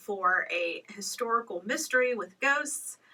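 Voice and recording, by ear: Lively intonation runs through a natural-sounding read-aloud voice.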